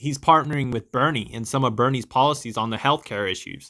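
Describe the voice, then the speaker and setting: Recorded very cleanly against a silent background, the voice has a bright, sharp tone and an American accent. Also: man. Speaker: political podcast host. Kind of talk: political commentary monologue. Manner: animated.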